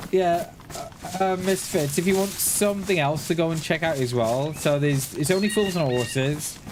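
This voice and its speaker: With a Welsh accent, a man speaks at a moderate pace and high pitch with ordinary pitch variation, heard through audible room echo and noticeable background noise. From Wales. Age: 40s. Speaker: gaming streamer. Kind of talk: live stream chat while gaming. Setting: live stream. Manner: casual, repetitive with restarts.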